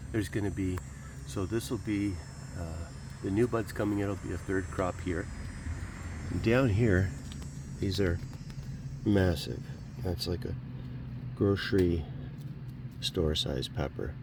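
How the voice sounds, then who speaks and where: Speaking with very deep, low pitch and lively intonation, a man leaves long, frequent pauses while audible room echo surrounds him. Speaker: home gardener, channel host. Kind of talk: casual garden tour walkthrough. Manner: casual, conversational.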